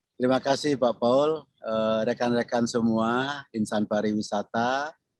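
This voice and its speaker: An unremarkable speaking voice from a man, medium in pitch, fairly slow and fairly even in intonation, with a dry, close sound and no echo. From Bali. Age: 60s. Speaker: tourism professor, retired government official. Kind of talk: podcast interview.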